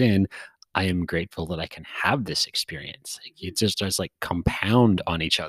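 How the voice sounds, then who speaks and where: A man talks with a very deep, low pitch, the sound dry and close with no echo, in a very clean recording over a silent background. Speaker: podcast host. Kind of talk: casual interview chat. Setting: in-person recording.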